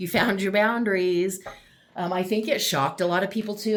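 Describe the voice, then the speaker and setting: A woman is speaking. Her pace is very fast. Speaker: tarot reader. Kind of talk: tarot reading to camera. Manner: loud.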